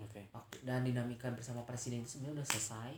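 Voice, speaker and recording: This man's voice is somewhat breathy. His pitch rests at a medium level. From West Java, Indonesia (Tasikmalaya). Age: 20s. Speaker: university student. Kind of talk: interview.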